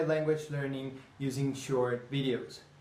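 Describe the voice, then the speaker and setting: A man speaks at a moderate pace with a Spanish accent. Audible room echo and noticeable background noise fill the recording. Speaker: language teacher. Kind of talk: tutorial.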